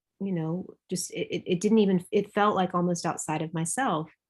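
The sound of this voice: With fairly even intonation, a woman speaks at a fairly low pitch.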